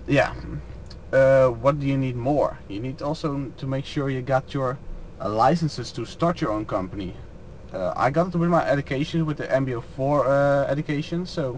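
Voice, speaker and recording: A man speaks in a fairly high pitch with a Dutch accent. His pitch varies in an ordinary way, and his pace is moderate. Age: 20s. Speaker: truck driver. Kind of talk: Q&A vlog. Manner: unscripted, hesitant.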